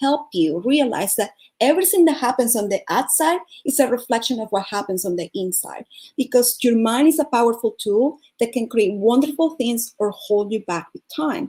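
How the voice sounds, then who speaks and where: A woman with a Venezuelan accent speaks at a high pitch with a dark, mellow tone. Her pitch swings very widely, and her pace is moderate. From Venezuela (Caracas). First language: Spanish. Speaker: life coach and speaker. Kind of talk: motivational talk.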